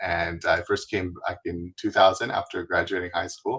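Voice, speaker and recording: The recording is very clean, with a silent background. A man speaks in a Canadian accent. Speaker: travel website founder, wheelchair user. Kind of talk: interview. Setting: live stream.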